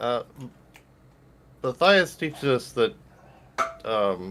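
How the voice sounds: A man's put-on character voice, fairly bright in tone, at a very slow pace with big pitch swings. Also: medium pitch for a man.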